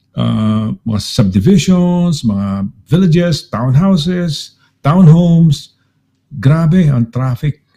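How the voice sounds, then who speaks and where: A man with a fairly high pitch and a dark, mellow, somewhat breathy tone speaks at a very slow pace, his pitch swinging very widely. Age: 60s. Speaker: radio host. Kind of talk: casual chat.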